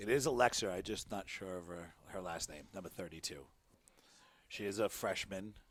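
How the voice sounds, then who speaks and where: In a Rhode Island accent, the voice moves at a moderate pace with ordinary pitch variation. Its loudness swings a great deal. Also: man, very deep, low pitch for a man. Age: 50s. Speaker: sports commentator. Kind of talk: live commentary.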